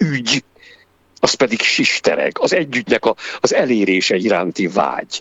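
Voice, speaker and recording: The voice belongs to a man. His delivery is fairly slow. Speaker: actor and director. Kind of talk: radio interview. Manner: halting, many fillers.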